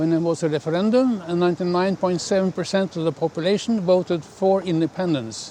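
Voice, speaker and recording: A man with a Norwegian accent and a high voice talks at a fairly quick pace with hardly any pauses and ordinary pitch variation, over noticeable background noise. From Norway. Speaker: independence supporter. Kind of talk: interview.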